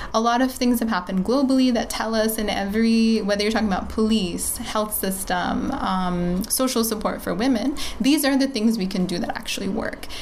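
A woman speaks fairly quickly at a fairly high pitch with hardly any pauses. There is noticeable background noise and audible room echo. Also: ordinary pitch variation. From Bangladesh. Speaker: public health NGO worker. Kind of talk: interview conversation.

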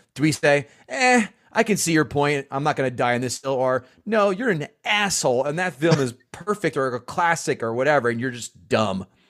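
Speaking at a moderate pace with hardly any pauses, a man uses a fairly high pitch and lively intonation. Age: 40s. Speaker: comedian and podcast host. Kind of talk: casual chat. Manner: animated.

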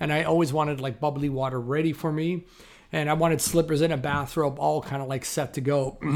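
A man with a Canadian accent, fairly high-pitched, at a fairly quick pace, flat and monotone. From Toronto, Canada. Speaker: film stand-in and actor. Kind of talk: interview. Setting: video call. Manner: loud.

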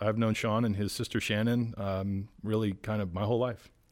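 A man speaks in a plain, everyday voice at a moderate pace with fairly low pitch. The recording is very clean, with a silent background. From Rhode Island, US. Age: 40s. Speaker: political operative, former state party chairman. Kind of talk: interview. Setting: studio in public library.

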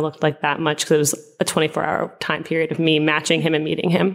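A woman talks at a very fast pace with a very deep, low pitch and vocal fry. Her intonation is monotone and flat. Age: 20s. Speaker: teacher. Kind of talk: interview testimony.

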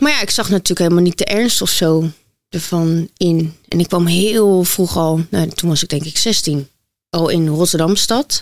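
A woman with a plain, everyday voice talks at a fairly slow pace and a fairly low pitch, with ordinary pitch variation. The sound is dry and close, with no echo. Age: 20s. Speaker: model and influencer. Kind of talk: interview testimony.

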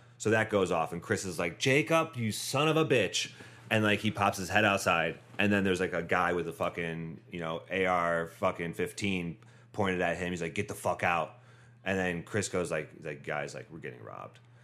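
With a very deep, low pitch and a bright, sharp tone, a man speaks at a moderate pace with lively intonation. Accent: American. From Northeast Ohio. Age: 30s. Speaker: bicycle courier and bike tourer. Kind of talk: casual chat.

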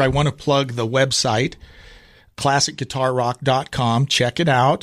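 A man talks at a fairly slow pace, his pitch fairly high. The recording is very clean, with a silent background. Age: middle-aged. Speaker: podcast host. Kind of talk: casual chat. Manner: animated.

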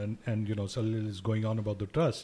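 A man with a medium-pitched, somewhat breathy voice, recorded very cleanly against a silent background. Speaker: financial educator. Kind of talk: radio interview.

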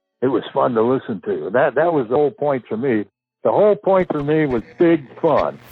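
A man with an American accent speaks in an ordinary speaking voice at a fairly high pitch. He keeps a moderate pace, and his intonation is lively. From Southern California, San Fernando Valley. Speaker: former overnight radio DJ. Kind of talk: casual interview storytelling.

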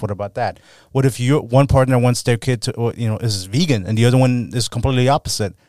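A man talks at a very fast pace with fairly even intonation and medium pitch. The recording is very clean, with a silent background. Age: 20s. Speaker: podcast host. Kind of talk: casual chat. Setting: studio.

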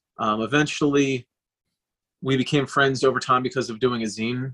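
A man's medium-pitched voice, bright and sharp in tone, holds fairly even intonation in a dry, close recording with no echo. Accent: American. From Philadelphia area. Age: 40s. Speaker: hardcore band guitarist. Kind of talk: casual chat.

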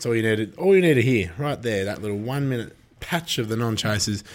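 An animated man with an Australian accent talks at a fairly quick pace with a medium pitch and lively intonation. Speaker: greyhound racing podcast host. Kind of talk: casual chat.

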